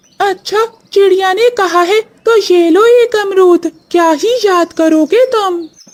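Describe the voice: A woman's cartoonish character voice, extremely high in pitch, at a fairly slow pace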